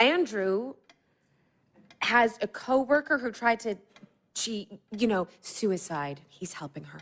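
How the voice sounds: A woman puts on a character voice with fairly high pitch and ordinary pitch variation. She goes at a slow pace with a fairly bright tone.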